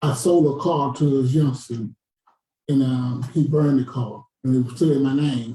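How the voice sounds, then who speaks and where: A man's dark, mellow, somewhat breathy voice at medium pitch and a moderate pace. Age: 60s. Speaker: audience member. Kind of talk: community forum question.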